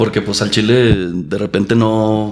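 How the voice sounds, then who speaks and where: Over noticeable background noise, a man with a fairly low pitch speaks at a moderate pace in a monotone, flat way. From Chihuahua, Mexico. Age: 30s. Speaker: engineer and comedian. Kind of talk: casual chat.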